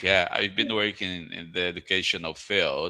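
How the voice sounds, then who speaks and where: A very clean recording with a silent background, in a Brazilian Portuguese accent. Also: man. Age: 40s. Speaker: school principal. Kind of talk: casual chat. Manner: halting.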